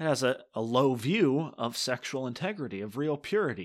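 A man's normal speaking voice at medium pitch, with lively intonation and a moderate pace, in a very clean recording with a silent background. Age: 20s. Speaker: podcast host. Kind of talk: solo talk podcast with scripture teaching.

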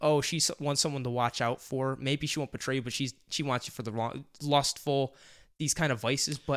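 A natural reading voice carries fairly even intonation throughout.

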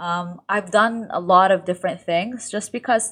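A woman with an unremarkable speaking voice moves at a fairly slow pace, her pitch varying in an ordinary way. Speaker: lifestyle content creator. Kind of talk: casual interview chat.

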